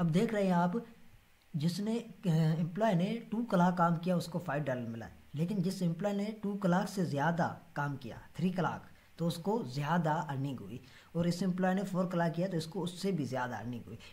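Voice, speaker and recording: His voice sits high in pitch. The man speaks with lively intonation. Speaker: Excel data analysis tutor. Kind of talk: tutorial. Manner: halting, many filler sounds.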